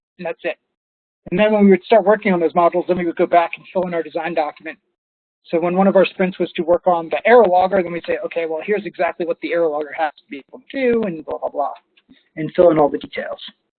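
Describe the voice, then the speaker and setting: Very fast speech with big swings in loudness and ordinary pitch variation. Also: man, high pitch for a man. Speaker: software consultant giving a webinar. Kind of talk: webinar presentation. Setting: online webinar.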